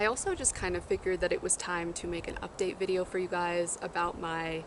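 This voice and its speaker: Against noticeable background noise, a woman talks at a fairly quick pace with fairly even intonation. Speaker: youtuber. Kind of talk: casual vlog talk.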